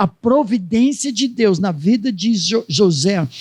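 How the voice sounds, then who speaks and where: A man talks at a very slow pace in a high pitch. His intonation is lively. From United States. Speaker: pastor. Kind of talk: sermon.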